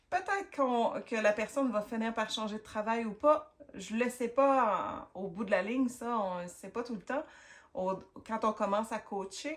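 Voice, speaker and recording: In a Quebec accent, a woman with a fairly high pitch speaks at a very slow pace with lively intonation. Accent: Québécois French. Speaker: career coach. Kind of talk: advice talk to camera. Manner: casual, hesitant with fillers.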